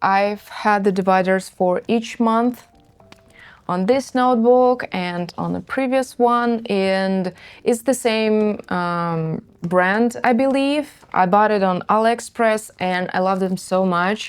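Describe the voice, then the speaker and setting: A woman with a Russian accent, very slow pace, on a very clean recording with a silent background. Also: medium pitch for a woman, ordinary pitch variation. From northern Russia, Murmansk. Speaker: craft youtuber. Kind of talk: casual chat.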